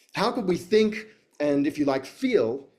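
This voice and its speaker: Lively intonation carries through this man's speech. He talks with an Australian accent. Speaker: futurist and educator. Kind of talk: talk to audience. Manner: hesitant, many fillers.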